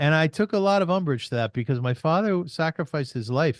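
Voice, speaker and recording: A man's fairly high voice at a very fast pace, with lively intonation and a dry, close sound with no echo over a quiet background. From Canada, Kitchener Ontario. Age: 60s. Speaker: podcaster and artist. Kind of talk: interview conversation.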